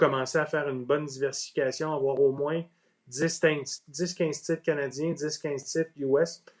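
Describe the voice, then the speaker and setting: This man's voice is fairly high-pitched, with a Quebec accent. He keeps a moderate pace and a monotone, flat intonation. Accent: Québécois French. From Quebec, Outaouais. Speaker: ETF industry executive. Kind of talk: interview. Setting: Facebook Live video stream.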